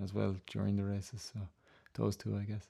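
Over a very clean recording with a silent background, a man talks at a fairly quick pace with a fairly low pitch. His intonation is monotone and flat, with an Irish accent. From Ireland. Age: 30s. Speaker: jump jockey. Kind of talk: interview. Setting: studio. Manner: halting, with frequent fillers.

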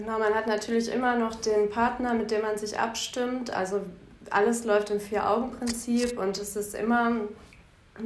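In a fairly high pitch, a woman talks at a fairly slow pace with a monotone, flat intonation. Noticeable background noise and audible room echo fill the recording. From Bielefeld, Germany. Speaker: lawyer. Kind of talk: interview.

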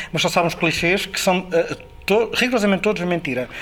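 The voice races at a very fast pace with ordinary pitch variation, and noticeable background noise runs underneath. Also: man. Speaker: film sound director. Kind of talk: interview. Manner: halting.

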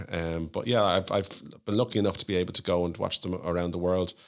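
A man with a Dublin accent talks very fast in a very deep, low pitch with fairly even intonation. The recording is very clean, with a silent background. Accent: Dublin Irish. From Ireland, Malahide (north County Dublin). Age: 40s. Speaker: solicitor. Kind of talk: casual interview chat. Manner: hesitant, many fillers and repeats.

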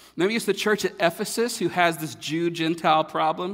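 A high-pitched man with a North Carolina accent, ordinary pitch variation and a moderate pace. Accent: Southern American (North Carolina). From North Carolina, US South. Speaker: pastor. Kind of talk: sermon. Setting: church.

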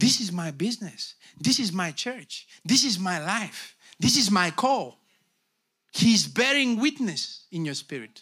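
A man with a bright, sharp tone and a high pitch talks at a fairly slow pace, his pitch swinging very widely. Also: very clean recording, silent background. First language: Bulgarian. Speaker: pastor. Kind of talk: sermon. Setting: church. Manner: animated.

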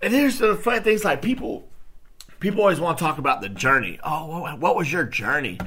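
Here a man speaks in an animated way with lively intonation. His voice is high-pitched, with a bright, sharp tone. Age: 30s. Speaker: podcast host. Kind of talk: solo casual talk.

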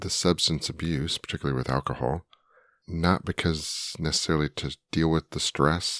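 A man's very deep, low, rumbling voice with vocal fry, a moderate pace, fairly even intonation and a dry, close sound with no echo. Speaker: podcast co-host. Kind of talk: casual chat.

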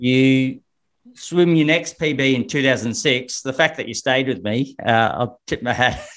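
At a fairly slow pace, a man with an Australian accent speaks at a medium pitch with ordinary pitch variation. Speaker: swimming coach. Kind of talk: interview.

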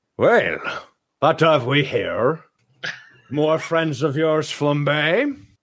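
Using a put-on character voice, a man speaks at a very slow pace and fairly high pitch, with long, frequent pauses.

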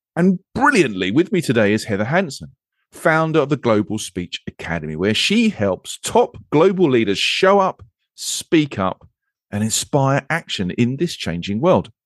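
A speaker with an English accent at a moderate pace, very wide pitch swings, and a dry, close sound with no echo over a quiet background. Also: man, medium pitch for a man. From England. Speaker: podcast host. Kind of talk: casual chat.

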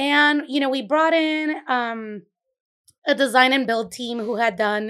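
Bright and sharp in tone, a woman with a Puerto Rican accent speaks at a fairly slow pace with ordinary pitch variation, in a very clean recording with a silent background. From Puerto Rico. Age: 30s. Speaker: bakery owner. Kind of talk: casual interview. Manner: vibrant.

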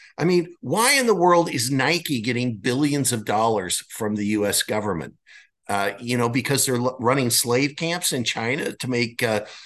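In an American accent, a man with a normal speaking voice and medium pitch talks at a moderate pace with lively intonation against a quiet background. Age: 60s. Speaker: author and media founder. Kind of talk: interview.

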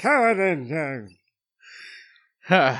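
At a middle pitch, the speaker puts on a character voice.

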